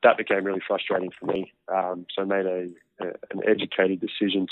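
Talking at a fairly quick pace, a man with an Australian accent has a fairly low pitch. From Australia, near Canberra. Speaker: professional rugby player. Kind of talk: interview.

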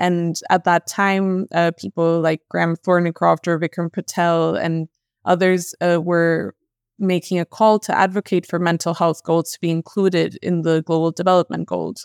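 Monotone, flat speech at a moderate pace in a very clean, dry, close recording with no echo and a silent background. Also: woman, fairly low pitch for a woman. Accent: Spanish. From Colombia. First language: Spanish. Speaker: mental health researcher. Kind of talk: podcast interview.

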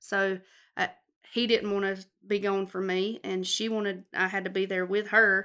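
In a very clean recording with a silent background, a woman with a Southern US accent speaks at a moderate pace and medium pitch, her bright, sharp tone held in a monotone, flat intonation. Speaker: cosmetologist. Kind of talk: casual chat. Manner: loud.

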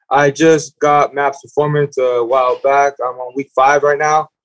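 With an American accent, a man speaks at a fairly slow pace in a fairly high pitch, the sound dry and close with no echo. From California. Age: 20s. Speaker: college baseball player. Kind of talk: casual chat.

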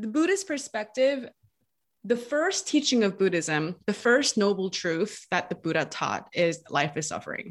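A woman with an American accent and medium pitch speaks fairly slowly, her pitch swinging very widely. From United States. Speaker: marketing coach and podcast guest. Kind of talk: casual interview. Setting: remote call.

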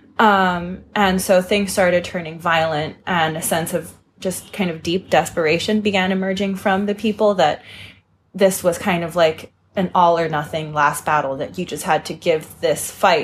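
In a very clean recording with a silent background, a woman speaks at a moderate pace, somewhat breathy, with fairly even intonation. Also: fairly low pitch for a woman. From Hong Kong. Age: 20s. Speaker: author. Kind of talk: interview. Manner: frequent fillers (kind of, um).

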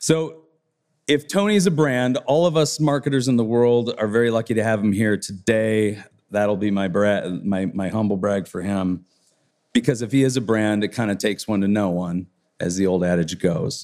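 A man talks at a moderate pace in a fairly low voice. It is an unremarkable speaking voice. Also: ordinary pitch variation. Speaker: business co-founder introducing speaker. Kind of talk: speaker introduction. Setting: conference stage with audience.

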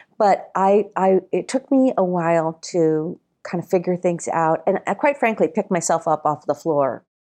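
A woman with a fairly low pitch and an ordinary speaking voice speaks at a moderate pace with very even loudness. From Massachusetts, moved to California at twelve. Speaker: nonprofit founder. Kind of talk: interview. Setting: remote interview from home.

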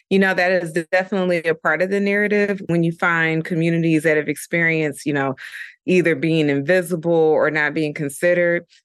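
Over a quiet background, a woman with a plain, everyday voice and a fairly low pitch talks at a fairly quick pace in an American accent, with ordinary pitch variation. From Dayton, Ohio. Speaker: yoga and meditation teacher. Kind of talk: casual interview chat.

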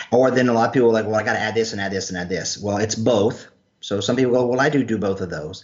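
A man with an American accent talks at a medium pitch. He speaks at a very fast pace. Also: ordinary pitch variation. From North Carolina. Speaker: health practitioner and clinician trainer. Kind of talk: casual interview. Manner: animated.

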